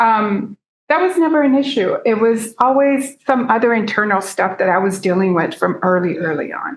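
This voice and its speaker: A woman's fairly high, lively voice with a Spanish accent at a moderate pace. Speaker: peer self-advocacy speaker. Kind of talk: seminar talk, personal testimony.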